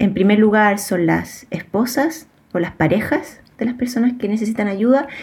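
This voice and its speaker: A somewhat breathy woman's voice at a fairly high pitch, with ordinary pitch variation and a moderate pace. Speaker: sociologist, researcher. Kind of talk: interview about research.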